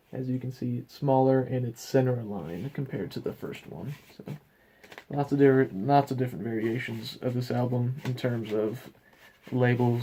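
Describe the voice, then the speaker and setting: A dark, mellow tone marks this voice, which moves at a moderate pace. There is a somewhat breathy quality to it. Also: man. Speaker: vinyl record collector. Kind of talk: casual show-and-tell video.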